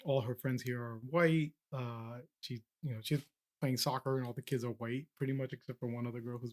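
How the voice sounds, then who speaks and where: A man with a Spanish accent talks at a fairly quick pace and medium pitch. The sound is dry and close, with no echo. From Peru. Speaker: podcast host. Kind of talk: casual interview conversation.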